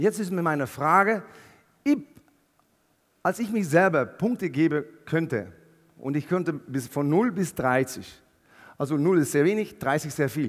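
A man with a fairly high pitch talks at a moderate pace, leaving long, frequent pauses, with a quiet background. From Netherlands. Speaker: keynote speaker. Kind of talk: motivational keynote talk. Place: stage. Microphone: headset.

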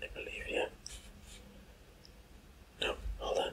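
Soft-spoken whispering over light background noise. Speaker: math teacher. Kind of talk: tutorial. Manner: soft male ASMR whisper.

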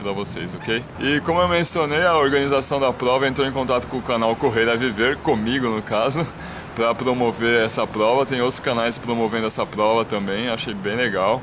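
A man talks at a moderate pace with ordinary pitch variation, noticeable background noise behind him. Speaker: running channel host. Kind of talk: casual vlog chat. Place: street. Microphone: phone near.

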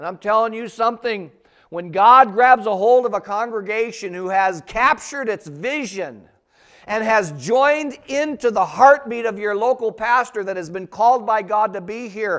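In a quiet setting, a man talks at a moderate pace with a high pitch and ordinary pitch variation. He sounds animated, and his loudness swings widely. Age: 50s. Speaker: pastor. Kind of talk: sermon. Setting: church. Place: church.

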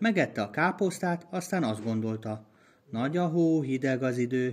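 The text is read aloud in a natural voice. Its intonation is lively.

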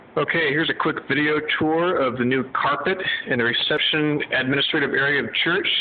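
Ordinary pitch variation and a moderate pace from a male speaker. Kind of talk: casual walk-through tour. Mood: pleased. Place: hall. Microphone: phone near.

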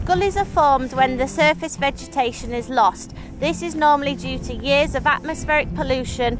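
A woman with a high-pitched voice speaks at a moderate pace over background music, the sound dry with no echo. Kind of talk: explanatory interview to camera. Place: open country. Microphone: lapel.

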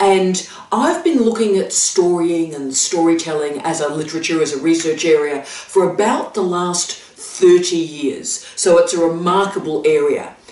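Audible room echo frames a woman's fairly low-pitched voice. She speaks at a fairly slow pace with ordinary pitch variation. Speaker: academic vlogger. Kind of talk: educational vlog talk. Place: home room.

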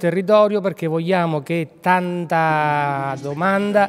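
A man with a high-pitched voice speaks at a very slow pace, his pitch moving in an ordinary way. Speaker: health authority director. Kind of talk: interview answer. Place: hall. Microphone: handheld.

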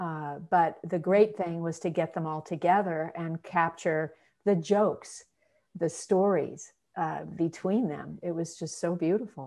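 Against a quiet background, a woman speaks at a fairly slow pace. Her voice is fairly low, with fairly even intonation. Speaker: documentary filmmaker hosting the livestream. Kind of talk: casual chat. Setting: video call livestream. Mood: warm, reminiscing.

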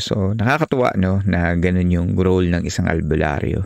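A man with a very deep, low pitch talks at a fairly slow pace. The recording is very clean, with a silent background and a dry, close sound with no echo. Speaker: podcast host and narrator. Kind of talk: horror story narration read aloud, with host intros and comments. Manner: hushed, measured, suspenseful.

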